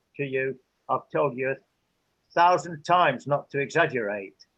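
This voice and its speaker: With an English accent, a man talks at a medium pitch and moderate pace with ordinary pitch variation. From England. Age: 70s. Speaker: interviewee. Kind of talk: interview. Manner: halting.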